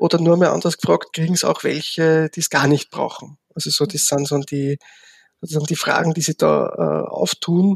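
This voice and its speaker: The sound is dry and close with no echo as this man talks at a moderate pace. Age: 50s. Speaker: social work professor. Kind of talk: interview. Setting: remote recording. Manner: halting.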